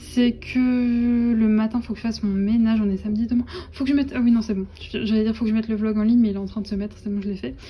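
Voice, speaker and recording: A woman's very fast, somewhat breathy speech, fairly high in pitch with a dark, mellow tone and monotone, flat intonation. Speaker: vlogger. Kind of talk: casual vlog chat. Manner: hesitant, many fillers.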